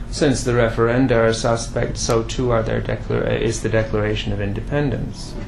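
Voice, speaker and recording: With hardly any pauses, a man talks at a fairly quick pace while noticeable background noise carries on behind him. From Quebec, Canada. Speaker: professor. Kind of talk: lecture. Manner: halting, with many fillers.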